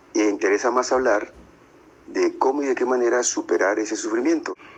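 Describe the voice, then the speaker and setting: A man talks at a fairly slow pace while noticeable background noise is audible throughout. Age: 60s. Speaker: interviewee, Buddhist practitioner. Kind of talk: interview answers. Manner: halting, many fillers.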